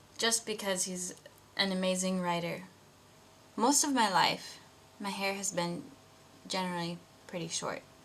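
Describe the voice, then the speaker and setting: Over noticeable background noise, a woman with an American accent speaks at medium pitch and a moderate pace, with ordinary pitch variation and long, frequent pauses. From US Midwest (Iowa, Wisconsin). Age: 20s. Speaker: video blogger. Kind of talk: casual personal vlog.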